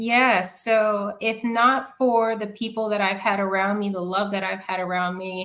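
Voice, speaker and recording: A woman's medium-pitched voice with an American accent, at a fairly slow pace with hardly any pauses, on a very clean recording with a silent background. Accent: New York, comes out at times. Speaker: community founder, marketer. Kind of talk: podcast interview.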